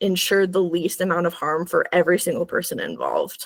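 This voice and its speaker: A woman speaks in a normal speaking voice at medium pitch. Her pace is moderate. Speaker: community presenter. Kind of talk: presentation.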